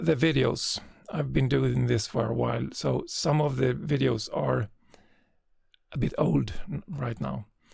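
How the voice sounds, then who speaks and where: A man with a non-native accent speaks at a very slow pace. He leaves long, frequent pauses. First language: not English. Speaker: GIS tutorial creator. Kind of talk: tutorial. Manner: hesitant, frequent filler sounds.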